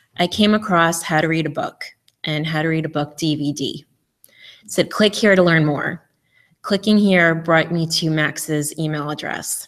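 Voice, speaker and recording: With a New York accent, a woman talks at a moderate pace, her fairly low pitch carrying fairly even intonation. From New York, Eastern Long Island. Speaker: conference speaker. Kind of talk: memorial tribute.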